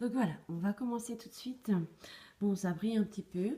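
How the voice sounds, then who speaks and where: A woman talks with a dark, mellow tone that is somewhat breathy. Her pitch variation is ordinary. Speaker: tarot card reader. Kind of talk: tarot reading to camera. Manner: hesitant, many fillers.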